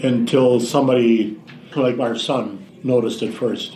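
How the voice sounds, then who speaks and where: An Upper Midwest accent with audible room echo. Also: man. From Wisconsin. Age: 80s+. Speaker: caregiver. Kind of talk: interview. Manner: halting.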